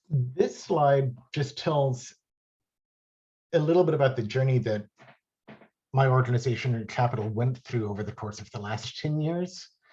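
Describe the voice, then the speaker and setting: A man speaks with a dark, mellow, somewhat breathy tone at medium pitch. He uses ordinary pitch variation and takes long, frequent pauses. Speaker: impact investing panelist. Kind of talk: webinar presentation. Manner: fast.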